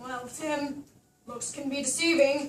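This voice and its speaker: A woman's high, put-on character voice in flat, monotone intonation at a fairly slow pace, with slight echo. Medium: stage play.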